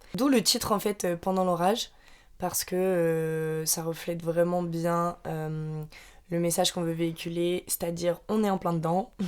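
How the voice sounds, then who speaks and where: Her pitch is fairly low for a woman. She talks at a fairly slow pace with fairly even intonation. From Normandy, France. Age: 20s. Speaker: podcast co-host. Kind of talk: casual chat.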